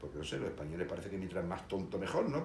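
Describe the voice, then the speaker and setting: A man with a slight Andalusian accent speaks at a very deep, low pitch. Noticeable background noise and audible room echo fill the recording. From Seville, Spain. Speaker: history video host. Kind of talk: casual monologue. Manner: hesitant, many fillers.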